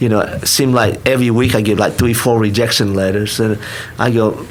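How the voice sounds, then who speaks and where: A man talks at a moderate speed, his voice echoing in the room amid noticeable background noise. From Vietnam. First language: Vietnamese. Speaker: restaurant owner. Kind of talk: podcast interview. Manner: halting, many restarts.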